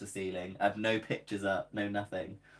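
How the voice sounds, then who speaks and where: A man with a fairly low pitch, talking at a fairly quick pace. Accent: southern British. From southern England. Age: 20s. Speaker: crochet content creator. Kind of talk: casual live stream chat. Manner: casual and chatty.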